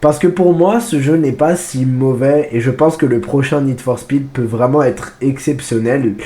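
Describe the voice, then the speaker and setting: A man with a fairly high pitch and ordinary pitch variation talks over noticeable background noise. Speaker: gaming YouTuber. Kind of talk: game review commentary. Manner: casual, with frequent hesitations.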